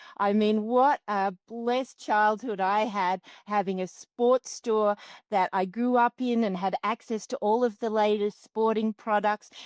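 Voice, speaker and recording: Speaking at a fairly slow pace with an Australian accent, a woman uses a fairly high pitch and fairly even intonation, recorded with a dry, close sound and no echo. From Australia, Canberra. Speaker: extreme sports athlete and coach. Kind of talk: podcast interview.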